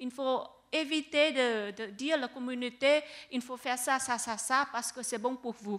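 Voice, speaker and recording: A woman's high-pitched voice with a non-native accent, fairly slow and fairly even in intonation. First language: not French (speaking French). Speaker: researcher. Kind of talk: panel discussion. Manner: halting.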